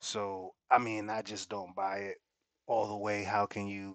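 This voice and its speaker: A man's voice, dry and close with no echo, over a quiet background. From Puerto Rico. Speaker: reaction video creator. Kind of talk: casual reaction commentary.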